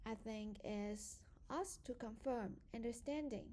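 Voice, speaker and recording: A woman with a non-native accent speaks very slowly in a fairly high voice, her dark, mellow tone carried by lively intonation. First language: not English. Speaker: student. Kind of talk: prepared presentation.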